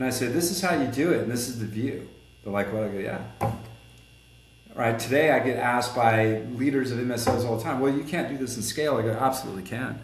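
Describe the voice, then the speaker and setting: A man with a medium pitch talks at a very fast pace. Audible room echo and noticeable background noise come through. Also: ordinary pitch variation. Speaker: collision repair shop owner and consultant. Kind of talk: podcast interview. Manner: animated.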